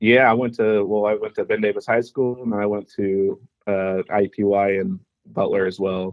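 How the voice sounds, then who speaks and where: A man talks at a moderate pace with a fairly low pitch. It is an ordinary speaking voice. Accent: American. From Indianapolis, Indiana. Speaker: fantasy league member. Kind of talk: casual chat.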